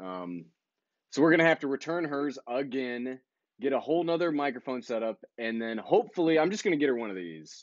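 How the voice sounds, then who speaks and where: Loud and fairly quick, a man talks at a medium pitch with very wide pitch swings. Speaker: YouTuber, drone vlogger. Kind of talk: live stream chat. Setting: live stream.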